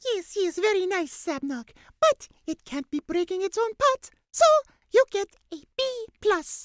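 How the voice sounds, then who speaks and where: A woman puts on a squeaky character voice at an extremely high pitch. She speaks at a fairly slow pace. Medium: read story. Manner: slow, drowsy, repeats "yes".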